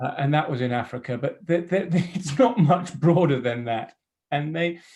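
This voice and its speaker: With an ordinary speaking voice, a man talks at a moderate pace, his fairly high pitch carrying lively intonation. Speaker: entrepreneur. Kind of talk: casual chat.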